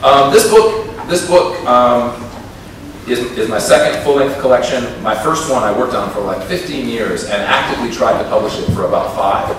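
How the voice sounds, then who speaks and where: A man speaks with an American accent. There is strong room echo and noticeable background noise. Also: moderate pace. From United States, Minnesota. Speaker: poet. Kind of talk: talk between poems at a poetry reading. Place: stage.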